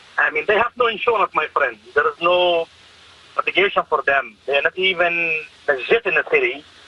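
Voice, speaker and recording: The speech moves at a fairly quick pace with very even loudness. The sound is dry and close with no echo, though noticeable background noise is present. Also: man. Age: 50s. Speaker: taxi driver. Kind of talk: radio interview. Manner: animated.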